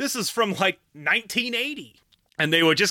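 In a dry, close recording with no echo, a man with an American accent speaks in a bright, sharp tone with very wide pitch swings. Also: very clean recording, silent background. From Utah County, Utah. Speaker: podcast host. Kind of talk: casual monologue.

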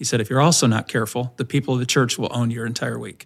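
Talking very fast in a monotone, flat delivery, a man with a Midwestern American accent has a medium pitch and vocal fry. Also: very clean recording, silent background. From Indiana, US Midwest. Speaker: senior minister, pastor. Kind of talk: testimony interview.

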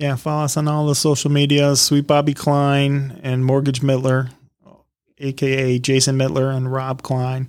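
Speaking at a moderate pace, a man with an American accent uses a fairly high pitch and a monotone, flat intonation. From Michigan, Detroit area. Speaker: podcast co-host, mortgage professional. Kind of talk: casual chat.

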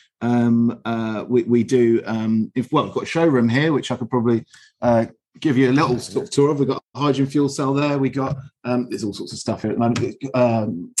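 Over a quiet background, a man with a southern English accent talks at a moderate pace and a medium pitch. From southern England (Aldershot, Hampshire). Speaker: heating engineer and business director. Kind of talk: interview. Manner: upbeat.

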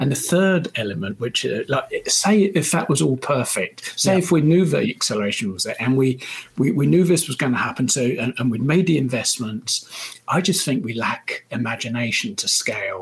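A man speaks with a British accent at a moderate pace. His fairly high pitch swings very widely. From United Kingdom. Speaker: supply chain consultant. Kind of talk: interview. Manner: halting, with frequent repetitions.

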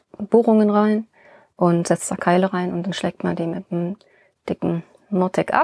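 The sound is dry and close, with no echo. A woman talks at a moderate pace in a medium-pitched, monotone, flat voice. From Rhineland, Germany (born in Bonn). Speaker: sculptor and stonemason. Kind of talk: casual interview.

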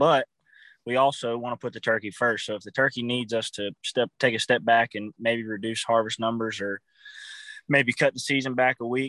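A man with an American accent speaks at a moderate pace in a medium pitch, his bright, sharp tone delivered in a flat monotone over a quiet background, with a dry, close sound and no echo. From Virginia. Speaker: marketing director of conservation group. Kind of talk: casual interview.

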